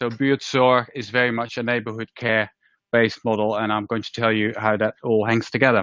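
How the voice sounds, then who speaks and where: Speaking at a fairly quick pace with a Dutch accent, the man keeps a medium pitch in a flat, monotone delivery. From Netherlands. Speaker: healthcare organisation leader. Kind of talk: presentation talk. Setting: room with live audience and webinar.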